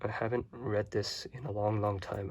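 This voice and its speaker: A man's somewhat breathy, fairly low voice, relaxed in tone and moderate in pace, on a very clean recording with a silent background. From Hong Kong. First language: Chinese (Cantonese). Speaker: YouTuber. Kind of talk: casual show-and-tell. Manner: relaxed, casual with hesitations.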